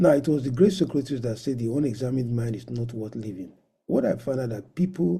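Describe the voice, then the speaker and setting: A man's somewhat breathy voice at medium pitch, dark and mellow in tone, very fast in pace, with big swings in loudness. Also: lively intonation. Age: 60s. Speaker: professor of medicine, conference speaker. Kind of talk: lecture.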